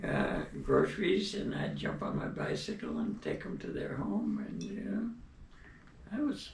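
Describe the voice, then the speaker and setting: A man with an American accent at a fairly slow pace, with audible room echo and music in the background. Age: 90s. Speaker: elderly storyteller. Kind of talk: personal reminiscence. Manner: hesitant, frequent fillers.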